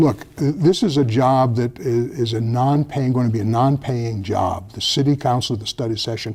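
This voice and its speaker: Pitched at a medium level, a man speaks with ordinary pitch variation. His voice is somewhat breathy. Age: 70s. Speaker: retired federal prosecutor, former police oversight commissioner. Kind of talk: TV interview. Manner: halting, many false starts and fillers.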